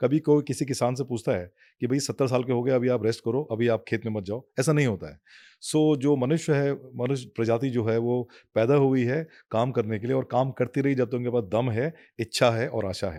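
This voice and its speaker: A man speaks in a dark, mellow tone. The recording is very clean, with a silent background. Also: medium pitch for a man, ordinary pitch variation, moderate pace. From Garhwal, Uttarakhand, India. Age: 60s. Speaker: navy veteran, ex-marine commando. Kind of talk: podcast interview. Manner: halting, many fillers.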